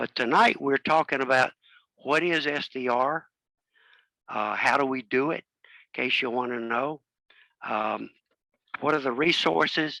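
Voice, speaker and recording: A man's medium-pitched voice with vocal fry and a bright, sharp tone, ordinary pitch variation, a moderate pace broken by long, frequent pauses, and a dry, close sound with no echo. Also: very clean recording, silent background. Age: 80s+. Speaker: amateur radio presenter. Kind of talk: club talk presentation.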